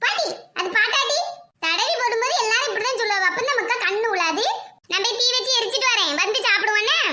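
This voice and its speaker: A woman performs a cartoonish character voice at an extremely high pitch. She speaks at a moderate pace. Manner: loud, scolding, colloquial.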